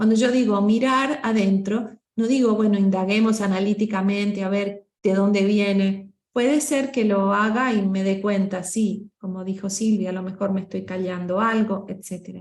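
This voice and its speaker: A woman speaks with a Rioplatense accent at a medium pitch and a moderate pace. Her voice is somewhat breathy with fairly even intonation, and the room echo is audible. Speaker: voice coach. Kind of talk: workshop discussion. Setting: group meeting.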